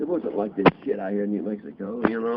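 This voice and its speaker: A man with an American accent, fairly low-pitched, at a fairly quick pace with lively intonation, over noticeable background noise. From Ripley, Tennessee. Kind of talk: interview answer. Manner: casual, profane storytelling.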